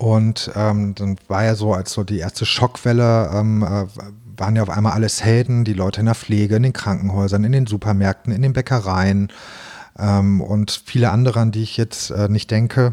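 The man's voice is fairly low, with a dark, mellow tone. He speaks at a moderate pace in a flat monotone. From Hannover, northern Germany. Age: 40s. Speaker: bakery owner. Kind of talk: interview. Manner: hesitant with many fillers.

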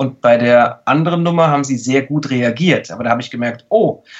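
A plain, everyday voice from a man, moderate in pace, fairly high-pitched, with ordinary pitch variation. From Saarland, Germany. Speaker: mentalist and body language expert. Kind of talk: casual interview.

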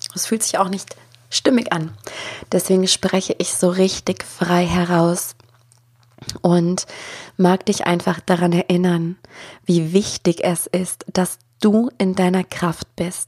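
A woman speaks at a very slow pace with long, frequent pauses. Her intonation is monotone and flat. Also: medium pitch for a woman. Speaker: spiritual coach and podcast host. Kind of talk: solo podcast monologue. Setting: home office with microphone. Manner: unscripted, free talk.

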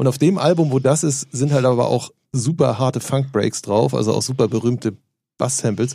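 The voice has a dark, mellow tone with vocal fry, moving at a moderate pace with ordinary pitch variation. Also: man, medium pitch for a man. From northern Germany, Hamburg area. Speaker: radio DJ. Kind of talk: casual chat.

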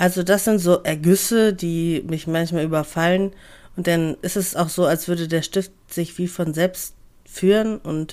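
An ordinary speaking voice from a woman, fairly low-pitched, fairly slow, with fairly even intonation, on a very clean recording with a silent background. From Hamburg, northern Germany. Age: 20s. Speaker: podcaster, office clerk. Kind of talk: casual monologue.

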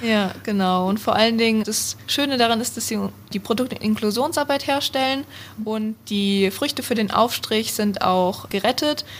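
This woman has a normal speaking voice and a fairly high pitch. She talks at a moderate pace with ordinary pitch variation. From Hesse, near Frankfurt am Main. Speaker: university student. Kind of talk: interview.

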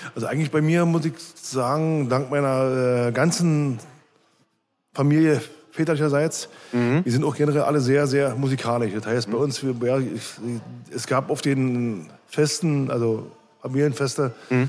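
A man speaks with a normal speaking voice at medium pitch. His pace is moderate and his pitch variation ordinary. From East Berlin, Germany. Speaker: punk band musician. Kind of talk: casual interview. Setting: bar.

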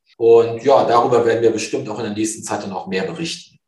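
The voice shows ordinary pitch variation, and the room echo is audible. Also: man. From northern Germany, near Cuxhaven. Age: 50s. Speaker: fund sales executive. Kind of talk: interview.

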